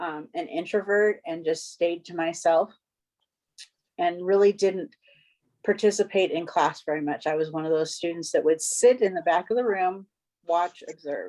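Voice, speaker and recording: A woman speaks with an American accent in a dark, mellow tone and a fairly low pitch. Her pitch varies in an ordinary way at a moderate pace. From US West Coast, Los Angeles. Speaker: club officer trainer. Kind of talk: icebreaker speech in training session.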